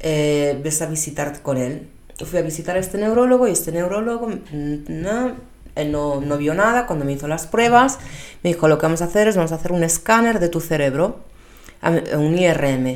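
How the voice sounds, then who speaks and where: The speaker uses lively intonation at a moderate pace, and audible room echo follows the words. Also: woman, fairly low pitch for a woman. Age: 30s. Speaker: personal trainer and pilates instructor. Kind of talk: casual monologue. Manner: halting, many fillers and repetitions.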